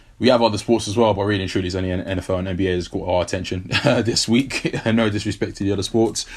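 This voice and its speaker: A man talks very fast in a fairly low voice. He hardly pauses at all. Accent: London. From South London, England. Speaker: sports podcast co-host. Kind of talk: casual chat. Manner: animated.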